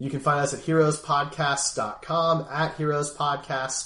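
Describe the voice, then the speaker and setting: Speaking at a moderate pace, this man has an American accent, a normal speaking voice, and a fairly high pitch. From US Northeast (Philadelphia). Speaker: gaming podcast host. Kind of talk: casual chat.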